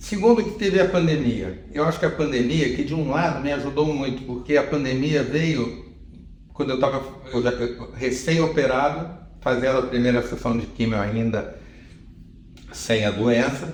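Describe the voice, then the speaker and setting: Audible room echo surrounds a man of medium pitch who talks at a moderate pace with ordinary pitch variation. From Brazil, Rio de Janeiro. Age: 70s. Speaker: retired TV journalist and executive. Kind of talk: interview conversation. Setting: in-person interview in Lisbon. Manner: halting, with repetitions.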